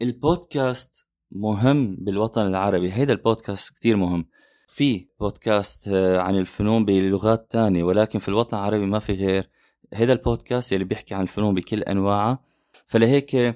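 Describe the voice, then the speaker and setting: Recorded very cleanly with a silent background and a dry, close sound with no echo, a man with a dark, mellow tone and fairly low pitch speaks at a moderate pace with ordinary pitch variation. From Syria. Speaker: podcaster and graphic designer. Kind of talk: solo podcast monologue.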